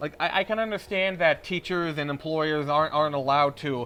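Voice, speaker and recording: The man rushes along at a very fast pace, though his intonation stays fairly even. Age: 20s. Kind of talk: recorded testimony. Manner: halting.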